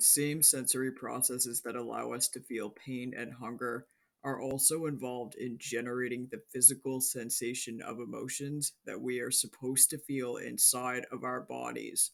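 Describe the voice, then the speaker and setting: A man speaks in a monotone, flat intonation at a moderate pace with hardly any pauses. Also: medium pitch for a man. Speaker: mental health video creator. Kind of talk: educational monologue.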